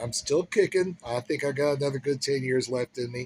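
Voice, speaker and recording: The man's voice is somewhat breathy and medium in pitch, with ordinary pitch variation. He moves at a fairly quick pace, and the sound is dry and close with no echo. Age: 60s. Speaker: chef giving career advice. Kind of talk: casual talk to camera. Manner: conversational with fillers and hesitations.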